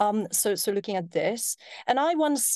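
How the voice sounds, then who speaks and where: In a dry, close recording with no echo and a quiet background, a woman talks at a fairly slow pace. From Poland. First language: Polish. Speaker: tech entrepreneur. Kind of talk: casual chat.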